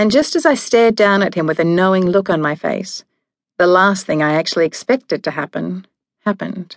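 A woman's dramatic, angry delivery in an Australian accent, medium in pitch with ordinary pitch variation, at a fairly quick pace over a quiet background. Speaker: audiobook narrator. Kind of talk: scripted audiobook narration, first person. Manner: dramatic, wry and sassy, with sharp comic timing; shifts from hushed and numb to angry and flustered.

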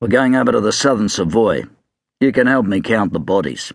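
A man puts on a raspy character voice at a medium pitch, with lively intonation. He talks at a fairly quick pace with very even loudness. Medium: read story. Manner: dry, laconic.

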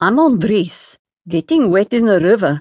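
A woman in a dramatic tone at a moderate pace, against a quiet background. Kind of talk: audiobook narration of historical romance. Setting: studio. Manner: dramatic, storytelling, measured pace with expressive character voices.

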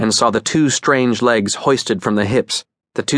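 The background stays quiet. Reading aloud in a natural voice, the speaker shows ordinary pitch variation.

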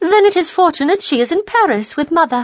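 A woman speaks in an animated tone with very wide pitch swings. The sound is dry and close with no echo, over a quiet background. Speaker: audiobook narrator. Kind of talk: dramatic audiobook narration with character voices. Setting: studio.

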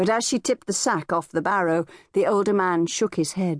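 Pitch varies in an ordinary way as someone reads in an unforced voice.

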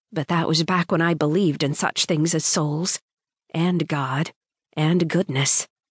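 Against a quiet background, a woman with a very deep, low pitch speaks at a fairly slow pace with fairly even intonation, in a dry, close sound with no echo. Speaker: audiobook narrator. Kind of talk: dramatic first-person audiobook narration of urban fantasy.

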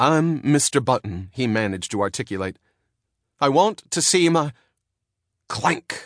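Using an animated, theatrical tone, a man speaks at a fairly slow pace with very wide pitch swings and long, frequent pauses. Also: medium pitch for a man. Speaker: audiobook narrator. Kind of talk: dramatic audiobook narration, reading fiction aloud with character voices. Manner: animated, theatrical, building suspense with hysterical and cracked character voices; formal, period-style storytelling with comic timing.

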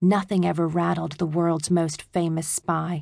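With a fairly low pitch, a woman speaks at a moderate pace in an animated, theatrical tone. The background is quiet. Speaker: audiobook narrator. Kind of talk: dramatic audiobook narration of a children's spy adventure, with character voices. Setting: studio. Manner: animated, theatrical, switching to gruff taunting bully tones for dialogue; hushed, tense, stealthy pacing in the mouse spy scenes.

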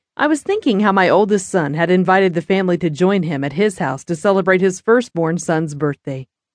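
The natural reading voice varies its pitch in an ordinary way.

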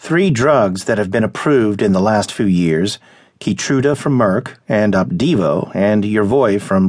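With an unremarkable speaking voice, a man talks at a fairly slow pace, his fairly low pitch carried by lively intonation. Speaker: audiobook narrator. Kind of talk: audiobook reading of a news article, scripted narration. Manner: formal, even-paced, measured.

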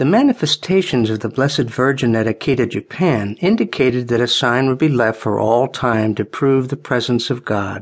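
An unremarkable speaking voice from a man at medium pitch, ordinary pitch variation and a moderate pace, over a quiet background. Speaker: audiobook narrator. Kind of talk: audiobook narration, scripted religious history read aloud. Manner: formal, measured, solemn.

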